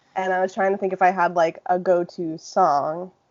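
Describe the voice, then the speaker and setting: A woman of medium pitch speaks at a moderate pace in an unremarkable speaking voice. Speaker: YouTuber. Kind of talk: casual chat.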